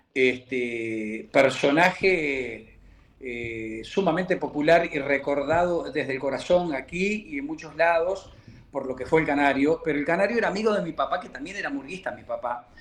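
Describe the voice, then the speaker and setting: The intonation is lively, at a moderate pace. Loudness swings widely throughout. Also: man, fairly high pitch for a man. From Uruguay, Montevideo. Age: 60s. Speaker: murga percussionist. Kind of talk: interview. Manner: halting.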